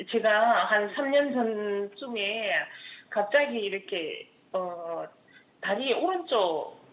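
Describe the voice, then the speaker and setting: A woman's fairly high voice at a very slow pace, with very wide pitch swings and audible room echo. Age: 60s. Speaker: caller, housewife. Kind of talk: phone-in caller describing symptoms. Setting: phone call.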